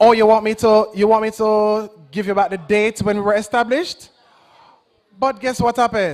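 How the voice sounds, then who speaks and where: Someone speaks in a Jamaican accent with an animated tone. The pace is moderate and the pitch varies in an ordinary way. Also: man, high pitch for a man. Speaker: agency representative. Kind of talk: public presentation to young audience.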